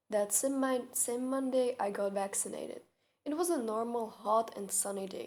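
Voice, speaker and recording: With a non-native accent, a woman speaks at a moderate pace in a fairly high pitch and a dark, mellow tone. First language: not English. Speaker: storyteller. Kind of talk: storytime.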